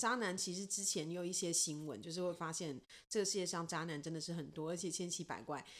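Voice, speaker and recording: A woman speaks fairly quickly with a fairly low pitch and a bright, sharp tone. Her pitch variation is ordinary, and audible room echo surrounds her. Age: 30s. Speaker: podcast co-host. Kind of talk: casual chat.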